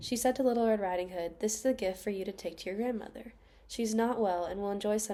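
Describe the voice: Plain reading aloud with ordinary pitch variation.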